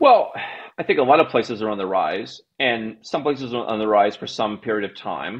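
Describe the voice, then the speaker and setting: A man talking at a moderate pace with ordinary pitch variation. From United States. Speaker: global citizenship and tax consultant, company CEO; podcast guest. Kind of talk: casual interview. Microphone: earbuds.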